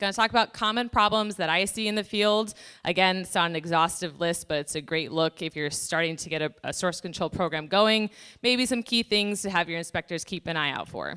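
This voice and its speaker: A loud woman's voice at medium pitch, bright and sharp in tone, with ordinary pitch variation and a fairly quick pace, on a very clean recording with a silent background. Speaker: pollution prevention inspector presenting at a conference. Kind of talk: conference presentation. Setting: conference room with audience, using microphone.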